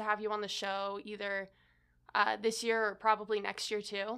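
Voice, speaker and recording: A woman's fairly high voice at a moderate pace, in a very clean recording with a silent background. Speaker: student podcast host. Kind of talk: casual chat.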